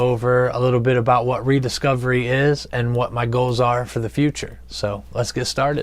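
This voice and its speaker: A man with an American accent speaks at a medium pitch and moderate pace, his intonation monotone and flat. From Ohio, US Midwest. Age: 30s. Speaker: recovering addict sharing his story. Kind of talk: personal testimony vlog. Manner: hesitant, many fillers.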